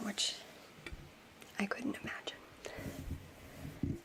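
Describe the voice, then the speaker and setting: A woman whispers over noticeable background noise. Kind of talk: ASMR soft-spoken fun-facts talk to camera.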